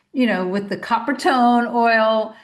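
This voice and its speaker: A woman talks at a fairly slow pace. Room echo can be heard around her. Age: 60s. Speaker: podcast host, naturopath. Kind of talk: solo podcast monologue. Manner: casual, conversational.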